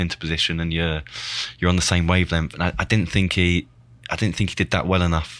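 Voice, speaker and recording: A man with an English accent talks at a very fast pace in a very deep, low voice, recorded very cleanly against a silent background. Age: 30s. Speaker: former professional footballer. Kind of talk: casual chat.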